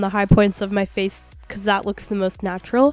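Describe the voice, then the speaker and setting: A woman is talking at a moderate pace. Behind her voice, music can be heard. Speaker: beauty vlogger. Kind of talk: makeup tutorial voiceover.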